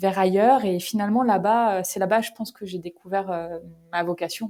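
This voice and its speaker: Dark and mellow, the voice has a distinct tone. The intonation remains fairly even throughout. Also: woman. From northern France, Picardy (Creil). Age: 30s. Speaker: company founder. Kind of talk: podcast interview. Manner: casual, hesitant with many fillers.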